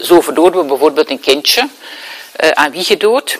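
A woman's voice, dry and close with no echo, over noticeable background noise. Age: 60s. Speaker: therapist and speaker. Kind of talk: lecture.

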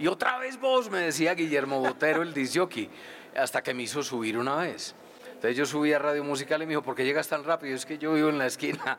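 A man's very fast speech with lively intonation. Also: fairly high pitch for a man. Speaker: rock radio DJ and author. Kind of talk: live interview at book launch.

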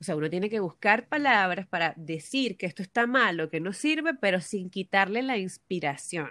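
Her pitch sits in the medium range but swings very widely, as a woman speaks at a moderate pace with hardly any pauses. The recording is very clean, with a silent background. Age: 20s. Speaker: architect and BIM specialist. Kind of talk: casual chat.

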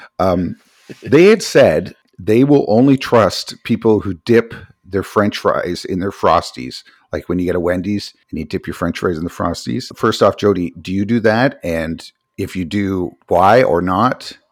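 In a plain, everyday voice, a man talks at a fairly low pitch and a fairly slow pace, with ordinary pitch variation. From Canada. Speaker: podcast co-host. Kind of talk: casual chat.

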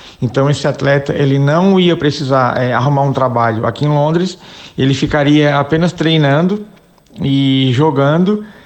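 A man's plain, everyday voice, fairly high in pitch, at a moderate pace with ordinary pitch variation and very even loudness. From Brazil, Santa Catarina (Criciúma). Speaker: amateur football club president and former player. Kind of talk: interview.

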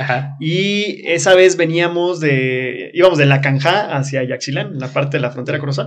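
Noticeable background noise and audible room echo surround a man whose pitch is fairly high. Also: ordinary pitch variation, moderate pace. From Chiapas, Mexico (Comitán). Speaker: experiential tourism operator. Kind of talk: casual interview.

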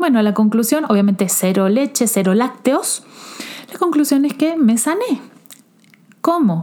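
Over noticeable background noise, a woman with a high voice swings very widely in pitch and leaves long, frequent pauses. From Argentina. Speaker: self-love coach and podcast host. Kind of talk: personal testimony. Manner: halting.

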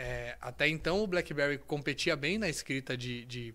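A man with a bright, sharp tone speaks at a moderate pace with ordinary pitch variation in a very clean recording with a silent background. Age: 30s. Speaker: sales specialist. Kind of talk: casual chat.

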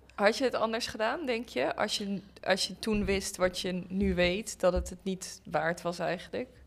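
A plain, everyday voice from a woman, medium in pitch, with ordinary pitch variation and hardly any pauses. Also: fairly slow pace. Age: 20s. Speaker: pedagogy student. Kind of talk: casual chat.

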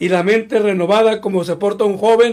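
This is a man with a high-pitched voice. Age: 60s. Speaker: pastor. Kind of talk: sermon.

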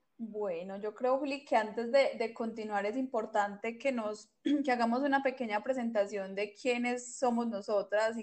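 With a normal speaking voice, a woman talks fairly slowly at a fairly high pitch, using fairly even intonation and hardly any pauses. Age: 20s. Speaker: podcast co-host, publicist. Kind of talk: casual chat.

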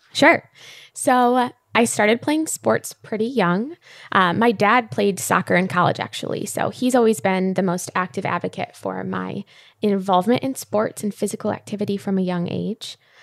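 Set against a silent background on a very clean recording, a woman speaks in a normal speaking voice at medium pitch and a moderate pace. Her intonation is lively, and the sound is dry and close with no echo. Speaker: fitness coach. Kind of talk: interview.

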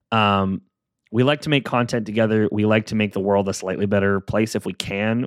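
A man at a fairly low pitch with ordinary pitch variation, in a very clean recording with a silent background and a dry, close sound with no echo. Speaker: solo podcast host. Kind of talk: casual solo monologue. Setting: home office. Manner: animated.

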